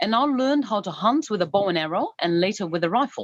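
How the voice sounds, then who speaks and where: This woman talks with a Dutch accent. Her pitch swings very widely. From Netherlands. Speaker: adventurer and author. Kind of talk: interview.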